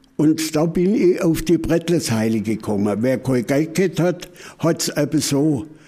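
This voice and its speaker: A man with an Upper Swabian accent, fairly high pitch, dark, mellow tone, lively intonation and a fairly slow pace. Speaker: folk culture expert. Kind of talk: interview. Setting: museum.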